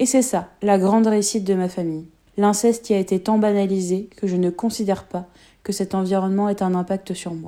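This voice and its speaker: On a very clean recording with a silent background, a woman speaks fairly quickly at a medium pitch, her tone dark and mellow and her intonation fairly even. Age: 20s. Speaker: radio documentary contributor. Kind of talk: scripted narration.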